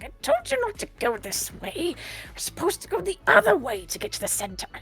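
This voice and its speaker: A put-on character voice, high-pitched with very wide pitch swings, runs at a fairly quick pace. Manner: chastising.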